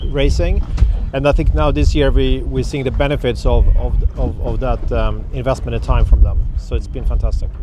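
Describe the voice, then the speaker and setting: Music plays in the background while a man speaks in a dry sound with no echo. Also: moderate pace. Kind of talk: interview answer. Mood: pleased, reflective. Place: waterside.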